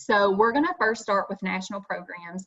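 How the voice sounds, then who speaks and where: A woman at a medium pitch. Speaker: state youth organization staff leading teacher workshop. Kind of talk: online workshop presentation. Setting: video call. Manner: fast; animated.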